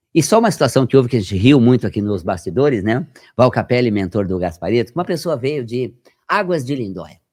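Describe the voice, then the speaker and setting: Animated and quick, a man at medium pitch swings his voice very widely up and down in a very clean recording with a silent background. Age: 60s. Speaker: health metaphysics researcher and radio presenter. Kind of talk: podcast interview. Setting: podcast studio.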